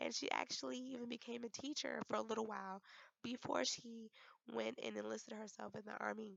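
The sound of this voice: A woman talks at a fairly quick pace in a fairly high pitch, her fairly bright tone carrying vocal fry over fairly even intonation.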